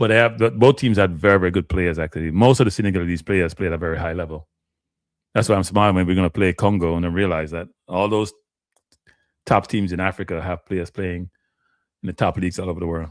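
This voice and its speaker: A man speaks very fast at a very deep, low pitch. The sound is dry and close with no echo, a very clean recording with a silent background. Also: ordinary pitch variation. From Jamaica. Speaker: football show host. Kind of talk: live-stream sports commentary. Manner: halting, many fillers and restarts.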